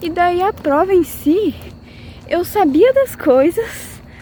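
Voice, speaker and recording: Very wide pitch swings run through the speech, with noticeable background noise present. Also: woman. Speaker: pharmacy student vlogger. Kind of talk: vlog monologue.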